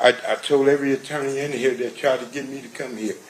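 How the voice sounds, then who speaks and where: Over noticeable background noise, a man talks at a medium pitch and a fairly quick pace. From Compton, California. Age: 60s. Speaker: trial witness. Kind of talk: courtroom testimony. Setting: courtroom. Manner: halting.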